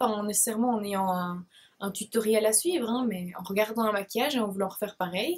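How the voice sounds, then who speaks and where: The voice is somewhat breathy, with a Belgian accent. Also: woman. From Belgium, Liège province. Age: 20s. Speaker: beauty blogger. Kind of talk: casual Q&A vlog. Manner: hesitant, many fillers.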